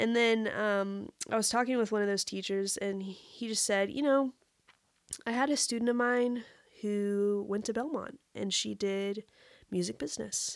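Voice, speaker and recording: Speaking at a moderate pace with an American accent, a woman keeps a medium pitch and fairly even intonation. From West Texas (Amarillo). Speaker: music industry professional. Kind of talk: casual chat.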